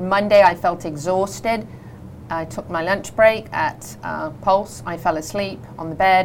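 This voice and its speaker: A woman speaks with a British accent at a fairly low pitch and a fairly slow pace, her intonation lively and her loudness swinging widely. Noticeable background noise runs underneath. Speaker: radio host. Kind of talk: radio talk show hosting. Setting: studio.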